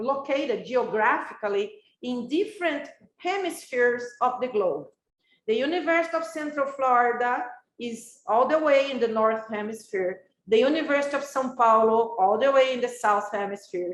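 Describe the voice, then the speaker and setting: With a Brazilian accent, a woman speaks at a moderate pace in a high pitch with lively intonation, and the room echo is audible. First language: Brazilian Portuguese. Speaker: professor. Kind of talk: lecture. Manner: halting.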